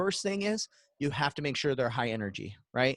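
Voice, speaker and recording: A man with an American accent talks at a fairly quick pace in an animated tone, his fairly high pitch making very wide swings. The sound is dry and close, with no echo. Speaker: virtual events expert. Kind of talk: webinar Q&A. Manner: fast; high energy, animated.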